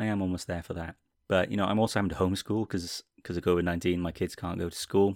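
In a Welsh accent, a man speaks very fast with a very deep, low pitch and monotone, flat intonation, the sound dry and close with no echo. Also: very clean recording, silent background. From Wales. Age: 30s. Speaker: podcast host, TV and film reviewer. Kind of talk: solo podcast monologue.

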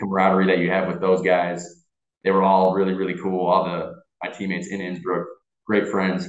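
A man with an American accent speaks fairly quickly in a very deep, low pitch with monotone, flat intonation. Audible room echo surrounds his voice. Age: 20s. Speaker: American football player. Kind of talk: casual chat.

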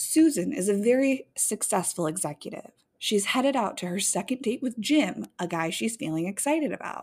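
A woman speaks loudly and with an animated tone, her fairly high voice swinging very widely in pitch. The recording is very clean, with a silent background. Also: moderate pace. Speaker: podcast co-host. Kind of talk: casual chat podcast banter. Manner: loud, naturally on an eight; animated, profane.

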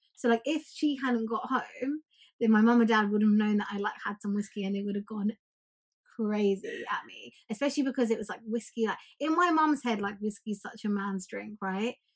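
This woman's voice is fairly high in pitch and somewhat breathy. She talks at a fairly quick pace with ordinary pitch variation. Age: 20s. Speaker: podcast co-host. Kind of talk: casual chat.

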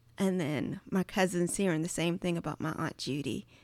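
Recorded very cleanly against a silent background, a woman with a Southern US accent speaks at a fairly low pitch with ordinary pitch variation. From Virginia (Charles City County). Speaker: creative and church worship artist. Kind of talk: casual chat.

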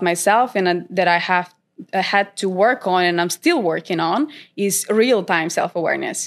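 Speaking at a moderate pace, a woman with a Macedonian accent uses a medium pitch and ordinary pitch variation on a very clean recording with a silent background. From North Macedonia. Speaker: trader and content creator. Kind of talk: interview. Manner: hesitant, many fillers.

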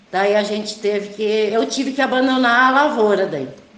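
A woman talks with a fairly high pitch and ordinary pitch variation. Audible room echo and noticeable background noise surround her voice. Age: 50s. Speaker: farmer. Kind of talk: testimony.

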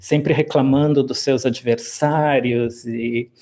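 Medium in pitch, a man's voice carries a dark, mellow tone with ordinary pitch variation. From Brazil, Rio Grande do Sul (Rio Grande). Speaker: professor of classics. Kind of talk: interview.

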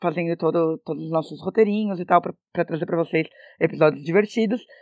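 A woman talks at a very fast pace. The recording is very clean with a silent background and a dry, close sound with no echo. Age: 20s. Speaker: actress and podcast co-host. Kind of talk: casual chat.

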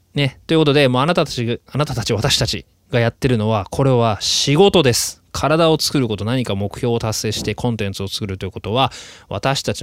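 A man talks at a fairly quick pace. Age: 30s. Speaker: actor and podcast host living in Australia. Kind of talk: casual solo podcast monologue.

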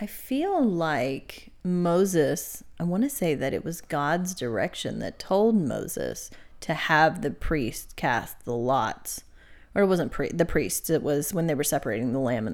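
Very deep and low for a woman, her voice carries vocal fry and very wide pitch swings at a fairly slow pace on a very clean recording with a silent background. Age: 30s. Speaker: podcast co-host and seminary student. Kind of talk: casual Bible study chat.

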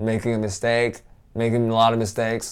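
In a very clean recording with a silent background, a man talks at a medium pitch. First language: not English. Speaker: English teacher. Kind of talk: motivational talk.

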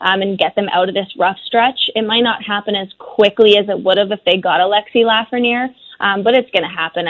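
In an ordinary speaking voice, a woman talks at a fairly quick pace with fairly even intonation. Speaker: hockey journalist. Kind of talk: radio interview.

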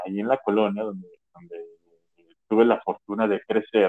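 Using a plain, everyday voice, a man with a medium pitch talks at a moderate pace. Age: 30s. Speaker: podcast co-host. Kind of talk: casual chat.

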